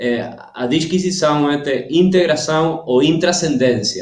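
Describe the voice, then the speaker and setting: Fairly high pitched with a Spanish accent, a man speaks with ordinary pitch variation as room echo is audible. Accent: Spanish-accented Portuguese, weak Portuguese. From Argentina. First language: Spanish (speaking Portuguese). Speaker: cultural policy expert. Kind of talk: interview. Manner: halting, many hesitations.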